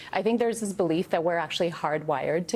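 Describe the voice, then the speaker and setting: A woman with a fairly low voice speaks with a non-native accent. Her pace is very fast. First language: not English. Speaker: author. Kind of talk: TV news interview. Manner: conversational, frequent fillers.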